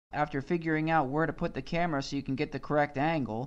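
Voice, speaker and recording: A mumbling man at a very fast pace, with fairly even intonation against a quiet background. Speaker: YouTube vlogger. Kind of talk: casual commentary vlog.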